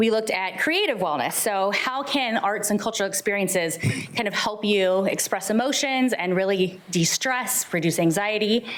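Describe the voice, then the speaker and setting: Animated and medium in pitch, a woman's voice holds very even loudness and ordinary pitch variation amid audible room echo and noticeable background noise. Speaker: senior center program staff. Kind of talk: presentation at public meeting. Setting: city hall board meeting. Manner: fast.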